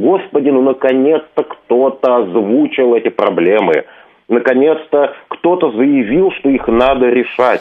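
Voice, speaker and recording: At a fairly slow pace, a man with a plain, everyday voice speaks at a medium pitch and very even loudness. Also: ordinary pitch variation. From Moscow region, Russia. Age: 40s. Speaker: historian. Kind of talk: interview. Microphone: technical problems on the line.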